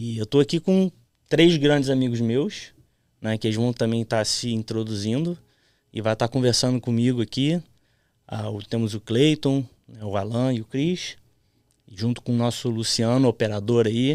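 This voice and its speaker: At a moderate pace broken by long, frequent pauses, the speaker shows ordinary pitch variation, and the sound is dry and close with no echo in a very clean recording against a silent background. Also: man. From Florida, US childhood, then Brazil in youth. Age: 30s. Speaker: podcast host. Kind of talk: casual chat.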